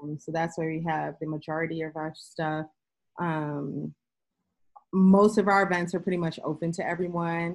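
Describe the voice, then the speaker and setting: A flat, monotone voice with a New York accent speaks at a moderate pace. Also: woman, fairly low pitch for a woman. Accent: New York City. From New York City, Queens. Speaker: sports business professional. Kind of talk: casual interview. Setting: remote call.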